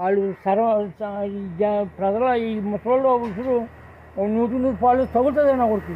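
Extremely high pitch from a man, with light background noise. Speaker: pensioner. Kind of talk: angry political complaint to news camera. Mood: angry, scolding politicians. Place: open country. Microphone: phone near.

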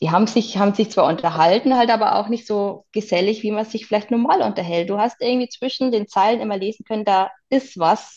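This woman has an ordinary speaking voice with a fairly high pitch. She speaks at a fairly quick pace with ordinary pitch variation. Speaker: interview guest sharing life story. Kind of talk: personal testimony.

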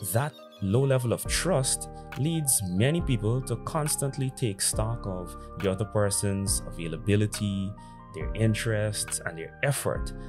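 Clear music plays behind a man whose voice sits fairly low in pitch. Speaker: dating commentary creator. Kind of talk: commentary to camera. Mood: serious, reflective. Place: home room. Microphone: studio mic.

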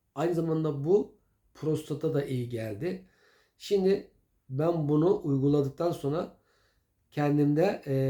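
Fairly slow and somewhat breathy, a man's dark, mellow voice moves with ordinary pitch variation. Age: old. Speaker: home remedy video maker. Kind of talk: casual tutorial. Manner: conversational, hesitant fillers.

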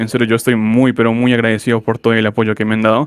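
A man is speaking. His pace is very fast. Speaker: gaming youtuber. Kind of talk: interview. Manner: halting.

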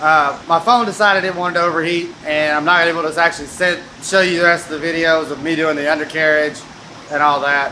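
Over light background noise, a man talks at a fairly quick pace. His pitch is high, with fairly even intonation. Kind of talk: casual vlog chat. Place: workshop. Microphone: phone near.

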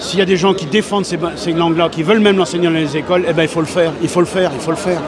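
A man with a high voice talks very fast, with hardly any pauses and fairly even intonation. The sound is dry with no echo, and background noise is noticeable. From Vendée, western France. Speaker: rural comedian. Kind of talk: interview answer. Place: hall. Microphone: handheld.

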